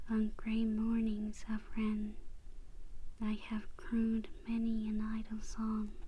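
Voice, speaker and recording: A woman speaks at a very slow pace and a fairly high pitch. Her intonation is monotone and flat, and her loudness very even. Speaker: ASMR host and poem reader. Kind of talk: poetry reading. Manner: whispered, soft-spoken, calming.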